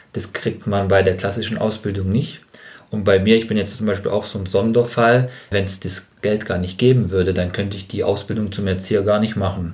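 A man talks at a fairly quick pace in a fairly low, somewhat breathy voice with monotone, flat intonation. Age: 30s. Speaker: trainee kindergarten teacher. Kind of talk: casual chat.

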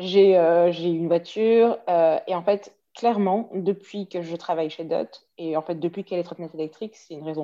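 A woman speaks at a fairly slow pace in a dark, mellow tone. The background is quiet. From Belgium, Waterloo. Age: 30s. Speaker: marketing manager. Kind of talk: casual interview.

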